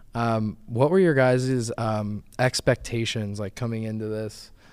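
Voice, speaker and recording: A man talks at a fairly slow pace in an ordinary speaking voice. His pitch is medium with ordinary variation, and the recording is very clean with a silent background. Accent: American. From Northeast Ohio (Akron). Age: 20s. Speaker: solar sales manager. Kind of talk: casual chat.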